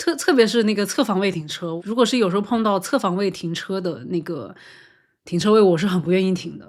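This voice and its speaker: A woman's voice at a medium pitch with ordinary pitch variation and a fairly quick pace, in a very clean recording with a silent background. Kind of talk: casual podcast conversation. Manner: fast, natural.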